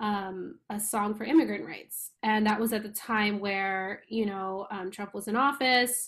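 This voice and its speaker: Speaking at a fairly slow pace with fairly even intonation and hardly any pauses, a woman with a New York accent talks at a medium pitch on a very clean recording with a silent background. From New York, Long Island. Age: 30s. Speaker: musician. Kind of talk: casual chat.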